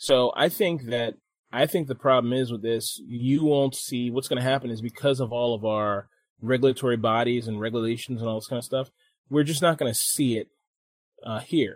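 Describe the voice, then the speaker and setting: A man with a medium-pitched voice speaks with fairly even intonation in an ordinary speaking voice. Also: moderate pace. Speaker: podcast host. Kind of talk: casual banter podcast. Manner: joking, laid-back.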